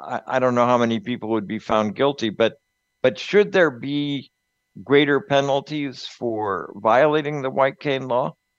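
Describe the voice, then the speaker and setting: A man with a normal speaking voice talks at a fairly slow pace. His pitch is medium and his intonation lively. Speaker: radio host. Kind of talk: casual chat.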